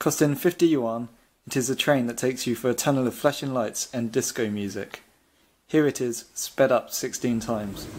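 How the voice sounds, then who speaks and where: This man speaks at a moderate pace with ordinary pitch variation. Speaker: travel vlog narrator. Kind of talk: travel narration voice-over.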